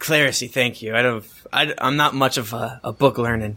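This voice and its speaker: A man's put-on character voice, gruff and raspy, at a medium pitch and a moderate pace. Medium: actual play. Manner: gruff, plain-spoken.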